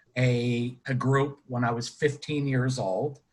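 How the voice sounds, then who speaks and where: The speaker has an American accent and a somewhat breathy voice. The pace is very slow, with fairly even intonation. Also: man. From western Pennsylvania, Butler near Pittsburgh. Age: 60s. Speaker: retired color guard instructor and judge. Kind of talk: casual interview. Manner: halting, many fillers.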